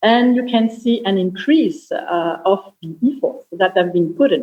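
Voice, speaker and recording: A strong French accent at a fairly slow pace. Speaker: panelist, security analyst. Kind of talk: panel discussion. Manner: hesitant, many fillers.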